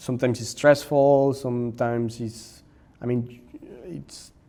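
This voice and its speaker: Speaking with a Spanish accent, a man uses fairly even intonation at a medium pitch, with long, frequent pauses. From Mexico. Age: 30s. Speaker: maker and content creator. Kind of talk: interview conversation. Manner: halting, with repetitions and fillers.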